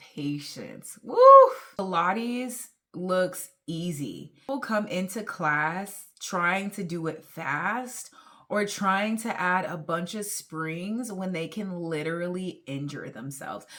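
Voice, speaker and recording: Very slow speech from a woman at medium pitch, with ordinary pitch variation. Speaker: fitness instructor. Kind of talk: vlog talking to camera. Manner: casual.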